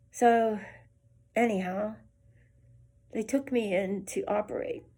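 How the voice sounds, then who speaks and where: At a fairly slow pace, a woman speaks with a fairly high pitch. Her tone is dark and mellow, and somewhat breathy. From western Pennsylvania, Beaver Falls. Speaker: nurse. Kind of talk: testimony. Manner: halting.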